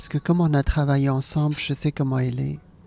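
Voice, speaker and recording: This woman has a very deep, low pitch and a dark, mellow tone. She is somewhat breathy, with monotone, flat intonation. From Hong Kong, then Alsace. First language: Cantonese (speaking French). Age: 40s. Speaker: comedian. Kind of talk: interview conversation. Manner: hesitant, many fillers and repetitions.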